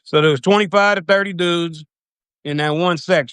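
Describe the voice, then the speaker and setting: In a strong Louisiana accent, a man speaks at a moderate pace with fairly even intonation. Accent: thick Louisiana. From US South, Louisiana (South Baton Rouge). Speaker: recovering addict, former prisoner telling his story. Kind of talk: personal storytelling on a live video. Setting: live video stream. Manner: casual, uses slang and swears.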